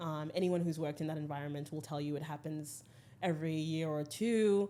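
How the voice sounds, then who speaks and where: A woman speaks with an American accent at a moderate pace. Her voice is fairly low in pitch, with a dark, mellow tone. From Zimbabwe, with childhood moves (Cuba, US, South Africa, UK). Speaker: skincare brand founder. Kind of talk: podcast interview. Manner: frequent filler 'um'.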